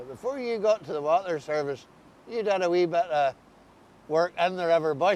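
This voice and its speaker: This is a man with an Ulster accent. His pitch is high and his pace moderate. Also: lively intonation. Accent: Ulster-Scots. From Northern Ireland. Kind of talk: interviewer in casual conversation.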